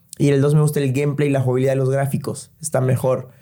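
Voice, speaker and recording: Here a man speaks with a fairly high pitch and a dark, mellow tone. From El Salvador. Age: 20s. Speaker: sneaker enthusiast guest. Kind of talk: casual chat.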